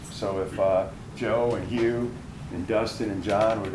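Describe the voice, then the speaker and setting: There is audible room echo and noticeable background noise. A man talks at a fairly low pitch with fairly even intonation. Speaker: panel moderator, finance executive. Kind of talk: panel introduction at live event. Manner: loud.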